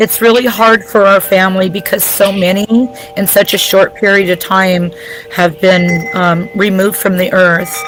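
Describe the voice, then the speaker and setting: A woman of medium pitch at a moderate pace, fairly even intonation and very even loudness, music in the background. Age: 50s. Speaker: guest relative of a victim. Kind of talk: testimony.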